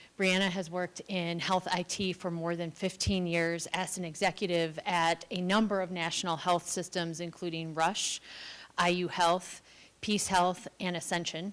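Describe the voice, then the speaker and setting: A woman talks at a moderate pace with a fairly low pitch. Her intonation is monotone and flat. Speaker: event moderator. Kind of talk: formal panel introductions. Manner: loud.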